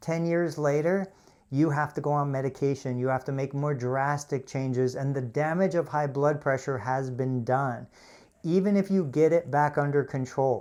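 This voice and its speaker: An unremarkable speaking voice from a man, fairly high in pitch with ordinary pitch variation, at a moderate pace in a very clean recording with a silent background. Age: 50s. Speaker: physical therapist. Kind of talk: live stream product review. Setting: physical therapy clinic. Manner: casual, conversational.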